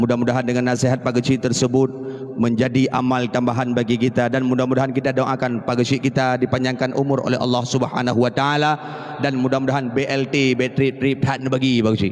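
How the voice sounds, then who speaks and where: Over noticeable background noise, a man at a medium pitch talks very fast in a monotone, flat intonation with very even loudness. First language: Acehnese (speaking Indonesian). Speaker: Islamic preacher. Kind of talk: sermon.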